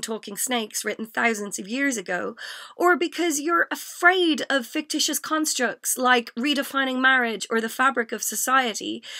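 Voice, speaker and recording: A woman with an Irish accent speaks at a moderate pace with lively intonation. Her high voice has a bright, sharp tone. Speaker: spoken word poet. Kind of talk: spoken word poetry performance. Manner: comedic, impassioned.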